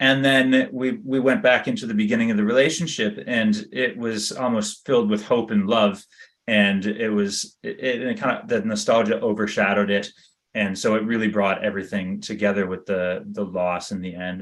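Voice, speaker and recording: This man has a plain, everyday voice with a Canadian accent and a fairly low pitch. He talks at a moderate pace with fairly even intonation. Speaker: magazine editor and interviewer. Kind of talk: interview.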